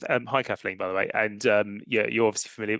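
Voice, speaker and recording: An English accent in a dry, close sound with no echo. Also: man, quiet background. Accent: English accent, noticeable. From England. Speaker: academic researcher. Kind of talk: conference Q&A. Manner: halting, with many fillers and restarts.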